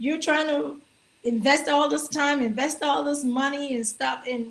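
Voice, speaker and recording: A woman is talking here. Her pitch shows ordinary variation. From Nigeria. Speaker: actor. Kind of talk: casual interview. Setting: live stream.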